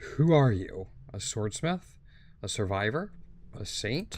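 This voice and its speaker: Putting on a character voice, a raspy man speaks at a fairly slow pace in a medium pitch with very wide pitch swings. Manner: ominous, questioning.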